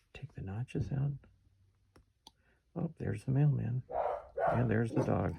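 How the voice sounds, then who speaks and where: A man with a dark, mellow tone and vocal fry speaks at a moderate pace with ordinary pitch variation and long, frequent pauses. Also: medium pitch for a man. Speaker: woodcarving instructor. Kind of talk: tutorial. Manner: casual, conversational; whispering at times.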